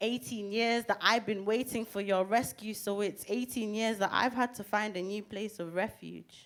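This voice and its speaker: A woman with a Mancunian accent speaks at a fairly high pitch and a moderate pace. Her intonation is fairly even, with hardly any pauses. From Manchester, England (born Zimbabwe, left as child). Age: 20s. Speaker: rapper and poet. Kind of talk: spoken word poetry performance.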